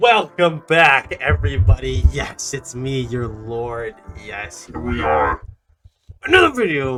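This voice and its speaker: Over background music, a man speaks at a very slow pace with big swings in loudness. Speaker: gaming youtuber. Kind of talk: tutorial. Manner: casual.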